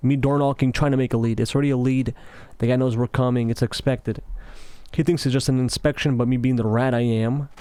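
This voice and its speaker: A man rushes along at a very fast pace in a medium pitch, his dark, mellow tone held in a monotone, flat intonation. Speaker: gaming commentator. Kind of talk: casual monologue over gameplay. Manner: halting, self-correcting.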